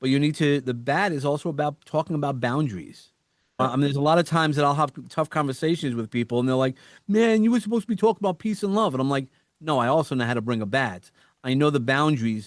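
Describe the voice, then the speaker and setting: Talking at a very fast pace with a New York accent, a man with a fairly high pitch uses lively intonation, in a dry, close sound with no echo and a quiet background. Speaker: entrepreneur and podcast host. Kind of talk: podcast interview. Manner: animated.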